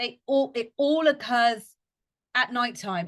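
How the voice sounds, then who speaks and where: Against a quiet background, a woman talks at a fairly slow pace in an animated tone, her high pitch showing ordinary variation. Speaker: fitness coach and podcast host. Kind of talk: educational podcast talk.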